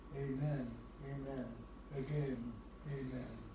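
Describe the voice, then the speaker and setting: A man's fairly high-pitched voice with audible room echo and noticeable background noise. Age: 80s+; old. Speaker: elderly man reading a poem. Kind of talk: poetry reading. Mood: gentle, devotional. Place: home room.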